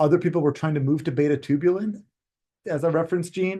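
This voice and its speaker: A man talks at a very fast pace. His tone is dark and mellow, and somewhat breathy. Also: quiet background. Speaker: weed science researcher. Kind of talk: conference talk.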